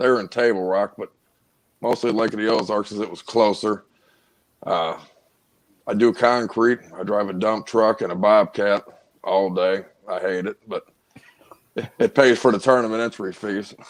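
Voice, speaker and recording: Speaking with a Missouri accent, a man with a fairly low pitch leaves long, frequent pauses. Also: fairly even intonation, moderate pace. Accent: Midwestern American (Missouri). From North St. Louis, Missouri. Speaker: kayak angler, concrete worker. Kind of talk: casual chat.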